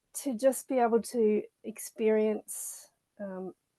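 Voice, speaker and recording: With a slight Australian accent, a woman talks at a fairly high pitch with ordinary pitch variation, in a dry, close sound with no echo. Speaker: children's author and nature educator. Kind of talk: interview. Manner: hesitant with fillers.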